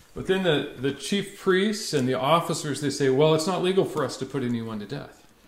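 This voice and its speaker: Fairly slow pace with hardly any pauses, over noticeable background noise. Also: man, fairly high pitch for a man, lively intonation. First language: English (speaking French). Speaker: pastor. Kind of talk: sermon preached in English with live interpretation. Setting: church.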